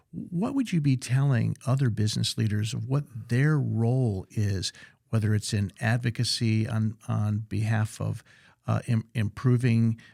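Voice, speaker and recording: A man with an American accent speaks at a fairly slow pace in a dark, mellow, somewhat breathy voice. The recording is very clean, with a silent background. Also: medium pitch for a man. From US South (Central Florida). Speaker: podcast host. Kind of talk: podcast interview.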